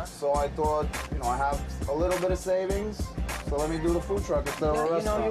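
A man with a New York accent talks at a very fast pace while music plays clearly in the background. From New York, grew up there. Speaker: food truck owner and cook. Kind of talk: interview answer. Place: kitchen.

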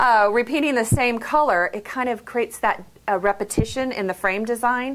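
A woman talks at a moderate pace. Her pitch varies in an ordinary way. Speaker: framing design instructor. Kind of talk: tutorial. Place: shop.

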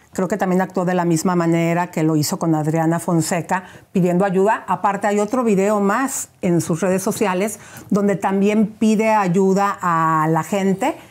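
A woman with ordinary pitch variation talks at a medium pitch and a moderate pace. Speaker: gossip show host. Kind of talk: phone interview. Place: studio. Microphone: lapel.

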